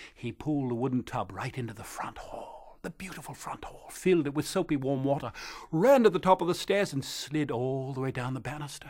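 In a plain, everyday voice, a fairly high-pitched man speaks at a fairly quick pace with hardly any pauses, ordinary pitch variation and big swings in loudness. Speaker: storyteller. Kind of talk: storytelling.

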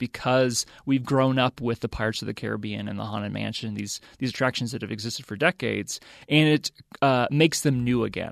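A man talks at a medium pitch, the sound dry and close with no echo. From US South. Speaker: professor. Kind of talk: interview. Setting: studio. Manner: halting.

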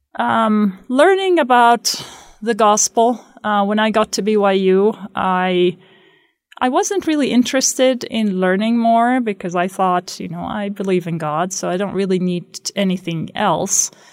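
A woman speaks at a fairly slow pace in an Arabic accent, her pitch medium with ordinary variation. The recording is very clean with a silent background. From Palestine, West Bank (Beit Sahour near Bethlehem). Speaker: math lecturer. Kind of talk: interview testimony. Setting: radio studio.

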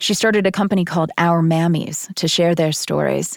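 A woman with an unremarkable speaking voice talks at a fairly quick pace and fairly low pitch with fairly even intonation, and the recording is very clean with a silent background. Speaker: podcast host. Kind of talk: narrated radio-style podcast host.

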